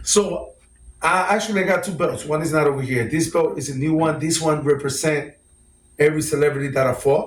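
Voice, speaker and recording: This man has a Puerto Rican accent and a fairly high pitch. His intonation stays fairly even. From Puerto Rico, then North Philadelphia. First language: Spanish. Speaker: celebrity boxer. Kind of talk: interview. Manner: filler-heavy, repetitive.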